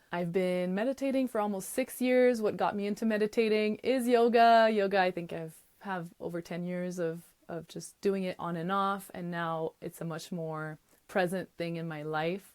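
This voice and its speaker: A woman with a Quebec accent, medium pitch, ordinary pitch variation and a moderate pace. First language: French. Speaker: podcast host and yoga teacher. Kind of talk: podcast monologue. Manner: animated.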